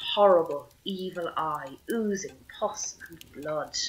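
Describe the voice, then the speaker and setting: Speaking with an Irish accent, a woman uses a medium pitch. Her pitch variation is ordinary. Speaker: storyteller. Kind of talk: traditional oral storytelling.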